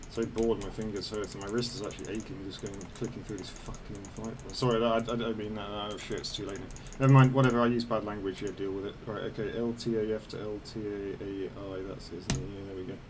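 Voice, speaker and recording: Talking at a very fast pace, a man uses a fairly low pitch and fairly even intonation. Noticeable background noise and audible room echo are present. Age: 30s. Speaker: flight sim gamer. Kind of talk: casual gameplay commentary. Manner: rambling, casual.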